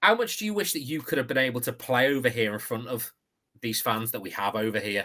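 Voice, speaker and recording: In a British accent, a man with a medium-pitched, bright, sharp voice talks at a fairly quick pace. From UK. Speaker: podcast host. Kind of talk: interview.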